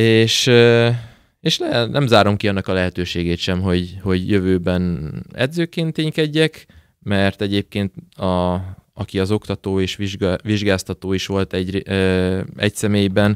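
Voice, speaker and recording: The background is quiet and the sound is dry with no echo. A man with fairly low pitch speaks at a fairly slow pace. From Debrecen, eastern Hungary; Hungary. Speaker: footballer; guest. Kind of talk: interview. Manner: halting, many repetitions and fillers. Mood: relaxed, cheerful. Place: studio. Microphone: studio mic.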